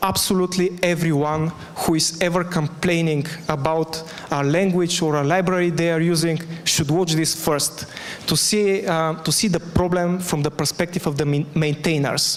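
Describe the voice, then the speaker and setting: Over noticeable background noise, a man with a high voice speaks in a monotone, flat intonation. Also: moderate pace, very even loudness. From Bulgaria, Sofia. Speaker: conference speaker. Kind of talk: conference talk; Q&A answer. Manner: loud.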